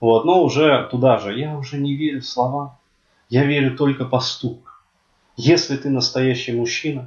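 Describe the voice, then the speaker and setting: With fairly even intonation, a somewhat breathy man speaks with long, frequent pauses. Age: 30s. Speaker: podcaster. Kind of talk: monologue. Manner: halting.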